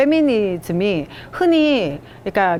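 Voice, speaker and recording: The speaker has an ordinary speaking voice with lively intonation. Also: woman. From South Korea, Gyeongbuk (Daegu). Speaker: lecturer. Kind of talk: lecture with picture-book read-aloud. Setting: public library lecture.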